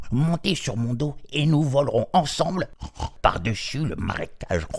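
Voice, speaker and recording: A man puts on a character voice, pitched fairly high, at a moderate pace. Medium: read story.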